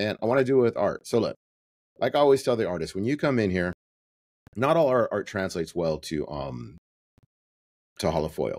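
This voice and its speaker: An animated man talks at a fairly quick pace with very wide pitch swings and vocal fry, broken by long, frequent pauses, in a dry, close sound with no echo. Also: medium pitch for a man. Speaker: print shop owner and podcast host. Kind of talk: casual podcast tutorial monologue. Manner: fast.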